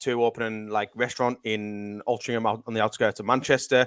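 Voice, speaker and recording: In a Cumbrian accent, a man with a medium-pitched voice talks fairly quickly in a monotone, flat delivery. The recording is very clean with a silent background and a dry, close sound with no echo. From northern England, West Cumbria. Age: 30s. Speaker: self-development coach. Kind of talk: podcast interview.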